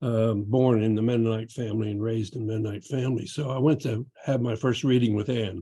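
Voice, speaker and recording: The tone is dark and mellow, somewhat breathy. Speech moves at a fairly quick pace with fairly even intonation. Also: man. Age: 80s+. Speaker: retired physician. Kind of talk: class introduction.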